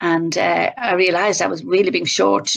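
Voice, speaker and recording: A woman speaks with an Irish accent. Her pace is moderate. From Ireland. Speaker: workshop presenter on emotional intelligence. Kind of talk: webinar presentation. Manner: relaxing.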